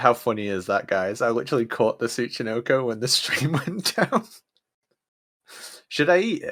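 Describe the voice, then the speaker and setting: A man with a British accent speaks at a medium pitch and moderate pace, with lively intonation. He leaves long, frequent pauses on a very clean recording with a silent background. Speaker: streamer playing a video game. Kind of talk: live gameplay stream chat. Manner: casual.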